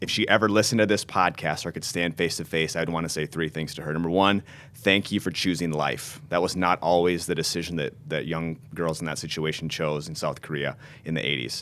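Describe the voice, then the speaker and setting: Man with an American accent and a very deep, low pitch, bright and sharp in tone, ordinary pitch variation, fairly quick pace, very clean recording with a silent background. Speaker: pastor. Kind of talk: interview conversation.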